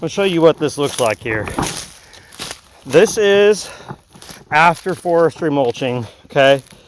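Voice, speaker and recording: Lively intonation from a fairly high-pitched man at a moderate pace, with noticeable background noise. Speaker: outdoor equipment YouTuber. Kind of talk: casual vlog narration while working outdoors. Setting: outdoors on rural property. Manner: loud, yelling a bit due to earplugs.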